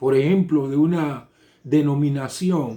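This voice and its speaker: Very slowly, a man speaks with a fairly high, dark and mellow voice and ordinary pitch variation. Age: 60s. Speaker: pastor. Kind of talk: sermon. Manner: halting.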